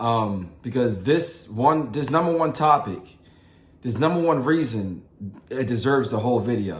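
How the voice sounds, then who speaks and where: The speaker talks at a moderate pace with lively intonation. Audible room echo surrounds the voice. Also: man, medium pitch for a man. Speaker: motivational vlogger. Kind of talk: motivational talk. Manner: halting.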